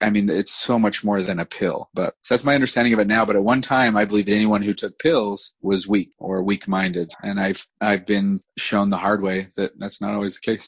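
A man with an unremarkable speaking voice talks at a fairly quick pace in a fairly low pitch with fairly even intonation. The background is quiet and the sound dry and close with no echo. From Utah. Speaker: entrepreneur. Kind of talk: podcast interview. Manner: casual.

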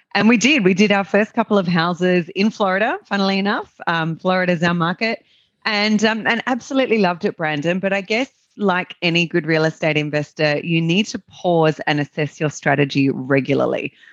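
In a dry, close sound with no echo, a woman talks at a fairly quick pace with an Australian accent. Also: medium pitch for a woman. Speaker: real estate investor and business owner. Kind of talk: interview conversation. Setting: remote call, different time zone.

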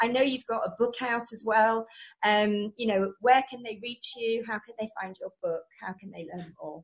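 With an English accent, a woman talks at a moderate pace with fairly even intonation. Her fairly high voice shows big swings in loudness. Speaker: radio host. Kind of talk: interview. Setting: radio studio with video link.

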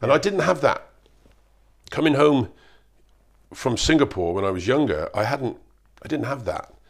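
Vocal fry and very wide pitch swings, with long, frequent pauses, on a very clean recording against a silent background. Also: man, fairly high pitch for a man, moderate pace. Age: 60s. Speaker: retired bricklayer and former American football player. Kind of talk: interview, life story. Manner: halting.

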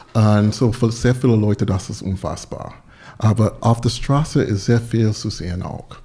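A man with an English accent and a dark, mellow, somewhat breathy tone. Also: medium pitch for a man, fairly even intonation, moderate pace. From US South, North Carolina. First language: English (speaking German). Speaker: soul singer. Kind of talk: casual chat. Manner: halting.

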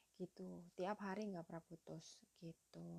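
A woman's somewhat breathy voice with a dark, mellow tone and medium pitch, at a moderate pace, with a dry, close sound and no echo. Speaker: podcaster and mother sharing parenting tips. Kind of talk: solo monologue podcast. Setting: late-night home recording. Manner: casual, chatty.

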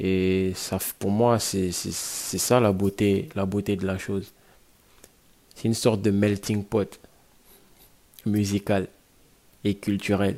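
A man speaks very slowly in a fairly low voice with a dark, mellow tone. His intonation is monotone and flat, broken by long, frequent pauses. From Guinea. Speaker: rapper. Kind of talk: interview. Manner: hesitant with fillers.

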